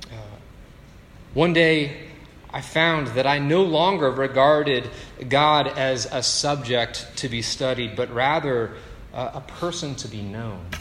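With noticeable background noise and audible room echo, a man at medium pitch speaks fairly slowly with ordinary pitch variation and long, frequent pauses. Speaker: pastor. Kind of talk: sermon. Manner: conversational, with filler words.

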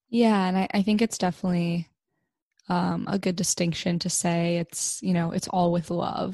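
A somewhat breathy woman's voice, dark and mellow in tone, fairly low in pitch with fairly even intonation. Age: 20s. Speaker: podcast host. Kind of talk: casual interview chat.

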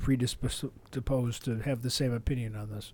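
A man speaks at a moderate pace in an unremarkable speaking voice, with medium pitch and fairly even intonation. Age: 50s. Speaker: retiree and co-host's father. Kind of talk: casual chat.

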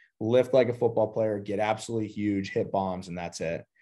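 Fairly quick man's speech, low-pitched and dark, mellow in tone, with fairly even intonation over a quiet background. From Pittsburgh, Pennsylvania. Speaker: baseball training academy founder. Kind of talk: casual interview.

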